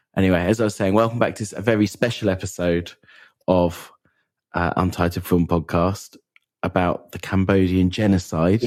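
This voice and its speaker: In a put-on character voice, a man growls out a raspy, very deep, low sound. He keeps a moderate pace and fairly even intonation. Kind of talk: formal podcast host. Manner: mock-serious hushed tone.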